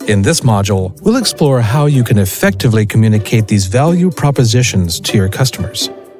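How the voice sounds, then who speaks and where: Music plays in the background as a man talks at a fairly quick pace, his pitch swinging very widely. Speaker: voice actor. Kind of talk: corporate training narration.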